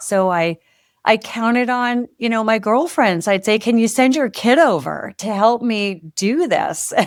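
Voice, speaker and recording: A woman's normal speaking voice, fairly high-pitched with lively intonation, at a fairly slow pace, on a very clean recording with a silent background. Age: 60s. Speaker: author and former music publishing executive. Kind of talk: podcast interview.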